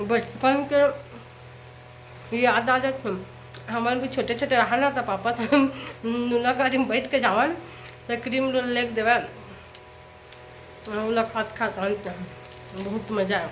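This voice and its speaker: A woman talks with a fairly high pitch and fairly even intonation. Long, frequent pauses break her speech, and background noise is noticeable. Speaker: cooking vlogger. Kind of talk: casual talk to camera.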